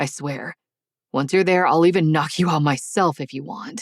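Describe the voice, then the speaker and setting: Using a put-on character voice, a soft-spoken woman growls at a very deep, low pitch and a moderate pace, with ordinary pitch variation, big swings in loudness, and a dry, close sound with no echo. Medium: read story. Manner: murmuring, soft.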